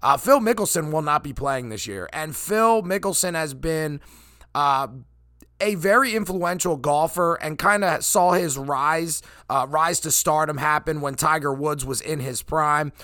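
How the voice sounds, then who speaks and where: On a very clean recording with a silent background, a man with an American accent speaks loudly and at a fairly slow pace, his fairly high voice bright and sharp with ordinary pitch variation. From eastern Pennsylvania. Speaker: sports podcast host. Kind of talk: solo sports commentary podcast. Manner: halting with many fillers.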